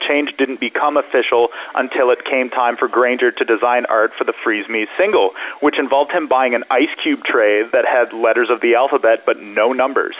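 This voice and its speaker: Over noticeable background noise, a man talks at a moderate pace with hardly any pauses and very even loudness. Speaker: music news journalist. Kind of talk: news reporting. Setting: phone call. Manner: polished, fluent, informative.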